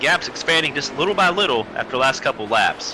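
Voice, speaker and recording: With an American accent, a man talks very fast over noticeable background noise. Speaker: sim racing commentator. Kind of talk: live commentary.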